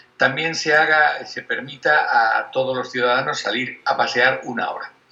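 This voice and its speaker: A man talks at a moderate pace with a fairly high pitch. His pitch variation is ordinary, and noticeable background noise sits behind him. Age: 60s. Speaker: university professor. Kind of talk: casual interview. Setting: video call. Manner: halting.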